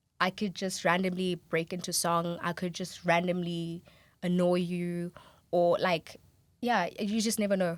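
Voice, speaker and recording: A woman's fairly low-pitched voice, fairly slow and monotone with flat intonation, on a very clean recording with a silent background. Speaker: sound production student. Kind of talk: casual chat. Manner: loud.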